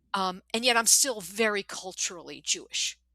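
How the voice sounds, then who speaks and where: A woman's fairly high, bright, sharp voice comes through with a dry, close sound and no echo. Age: 60s. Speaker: novelist. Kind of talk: interview conversation. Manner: animated.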